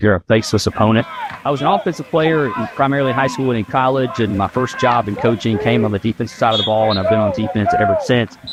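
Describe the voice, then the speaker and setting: Over noticeable background noise, a man with a medium pitch talks at a very fast pace. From Virginia. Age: 30s. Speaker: college football head coach. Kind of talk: interview.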